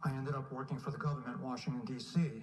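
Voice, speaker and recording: A man with an American accent speaks at a fairly quick pace, his pitch varying in an ordinary way. There is audible room echo and noticeable background noise. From Lowell, Massachusetts (New England). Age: 60s. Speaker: public commenter at city council. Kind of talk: public comment speech. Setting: city council meeting. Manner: formal.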